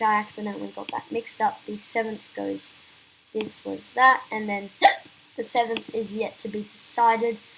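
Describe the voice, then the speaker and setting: A woman speaks over noticeable background noise. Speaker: election analysis youtuber. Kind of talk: political analysis commentary. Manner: halting, with many fillers and restarts.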